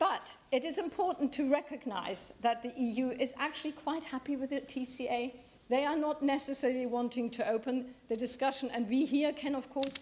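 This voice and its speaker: Fairly even intonation with hardly any pauses, over noticeable background noise. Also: woman, high pitch for a woman. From Germany. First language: German. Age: 60s. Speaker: member of parliament. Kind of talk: parliamentary debate speech. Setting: parliament chamber. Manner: halting.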